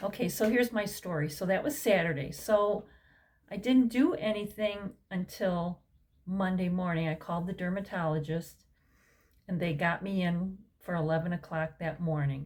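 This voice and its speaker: Somewhat breathy and medium in pitch, a woman's voice moves at a moderate pace with ordinary pitch variation. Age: 60s. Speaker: health vlogger. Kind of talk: personal story vlog. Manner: casual, conversational with fillers.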